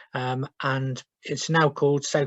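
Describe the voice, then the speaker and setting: A man talks in a somewhat breathy voice with fairly high pitch. His intonation is monotone and flat. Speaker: social work team manager. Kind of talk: webinar presentation. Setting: video call from home. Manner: hesitant, many fillers.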